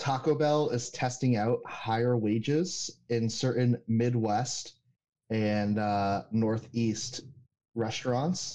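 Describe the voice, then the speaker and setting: A man talks at a very slow pace in a dark, mellow tone with very even loudness and fairly even intonation. The background is quiet. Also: medium pitch for a man. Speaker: podcast co-host. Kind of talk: casual chat. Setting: remote call over internet.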